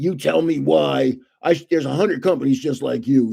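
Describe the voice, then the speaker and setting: A man puts on a raspy character voice at a medium pitch with very wide pitch swings. He speaks at a fairly quick pace. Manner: pompous, dismissive.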